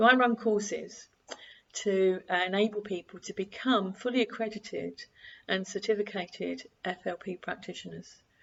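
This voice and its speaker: Vocal fry colors this woman's medium-pitched voice. She keeps a moderate pace with fairly even intonation. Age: 60s. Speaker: coach and course trainer. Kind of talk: casual monologue to camera.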